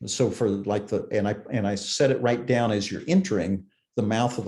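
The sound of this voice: Over a quiet background, an unforced reading voice carries ordinary pitch variation.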